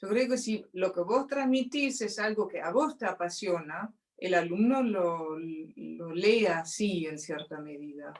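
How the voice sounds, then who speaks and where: A woman's very slow, medium-pitched speech with hardly any pauses, very wide pitch swings and big swings in loudness. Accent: Rioplatense. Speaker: interview guest. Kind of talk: casual conversation.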